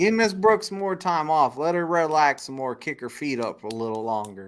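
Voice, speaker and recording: With a Texan accent, a man talks at a moderate pace in a fairly high voice whose pitch swings very widely, on a very clean recording with a silent background. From Texas. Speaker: truck driver, live stream host. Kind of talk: live stream chat.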